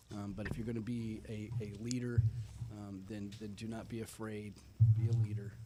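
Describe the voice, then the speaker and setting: A man's dark, mellow, fairly low voice with an American accent, monotone and flat in intonation, at a moderate pace with audible room echo. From Northern California (Antioch). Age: 50s. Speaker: military veteran. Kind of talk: interview on live radio show. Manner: halting, many fillers.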